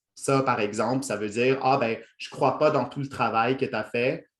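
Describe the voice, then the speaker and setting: A man with a Quebec accent speaks at a moderate pace. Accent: Quebec French, formerly Franco-Ontarian. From Ontario, Franco-Ontarian (Toronto). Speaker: workshop trainer, lecturer. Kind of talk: lecture. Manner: hesitant, many fillers.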